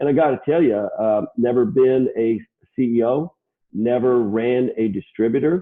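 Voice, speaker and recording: A man with an unremarkable speaking voice talks at medium pitch with ordinary pitch variation. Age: 60s. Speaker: HVAC controls distributor CEO. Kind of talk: interview.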